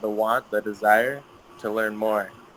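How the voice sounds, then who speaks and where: Against noticeable background noise, a man with an American accent speaks at a fairly low pitch. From US, Utah. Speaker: guest speaker for English class. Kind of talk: informal talk to students. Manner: halting, many fillers.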